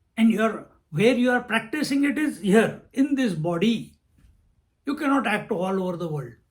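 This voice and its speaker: In a room with audible echo, a man talks at a moderate pace in a high pitch with lively intonation. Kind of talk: lecture. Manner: thinking aloud, halting.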